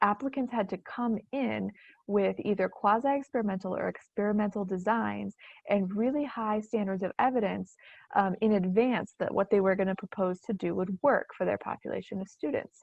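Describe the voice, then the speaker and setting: A woman speaks at a moderate pace and medium pitch, with ordinary pitch variation. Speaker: education researcher presenting webinar. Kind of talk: webinar lecture. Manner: halting, many fillers.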